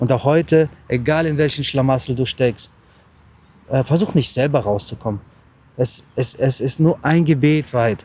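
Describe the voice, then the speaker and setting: Somewhat breathy and dark, mellow in tone, a man speaks at a medium pitch and moderate pace with ordinary pitch variation and long, frequent pauses. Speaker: travel vlogger and lay preacher. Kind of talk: short sermon and blessing.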